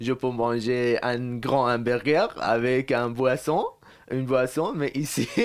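Very slowly, a man delivers his words with fairly level intonation. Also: medium pitch for a man. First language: Persian (speaking French). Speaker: student. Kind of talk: casual interview. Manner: halting.

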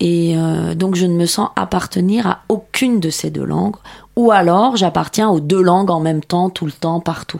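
A woman speaks at a fairly slow pace. She has a Persian accent. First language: Persian (speaking French). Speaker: novelist. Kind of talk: radio interview. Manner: halting, filler words.

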